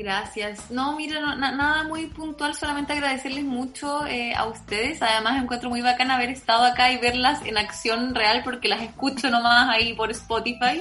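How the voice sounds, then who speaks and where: With a Chilean accent, a woman speaks at a moderate pace in a high pitch with fairly even intonation and hardly any pauses, amid noticeable background noise and audible room echo. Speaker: political scientist. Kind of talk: interview.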